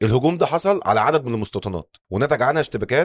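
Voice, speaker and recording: Lively intonation and a fairly quick pace mark this speech in an Egyptian accent, recorded dry and close with no echo. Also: man. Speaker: podcast host. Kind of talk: scripted narration.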